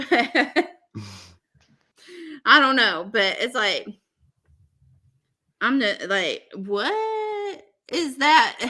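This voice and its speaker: In a Southern US accent, a woman speaks very slowly in a high, bright, sharp, raised and projected voice, her pitch swinging very widely between long, frequent pauses. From US South. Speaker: podcast host. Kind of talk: casual chat. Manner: animated.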